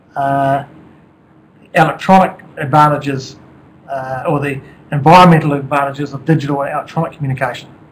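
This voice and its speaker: A man with a New Zealand accent talks at a fairly quick pace in a fairly high pitch, his intonation monotone and flat, with long, frequent pauses and big swings in loudness. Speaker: company executive. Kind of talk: presentation. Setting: webcast.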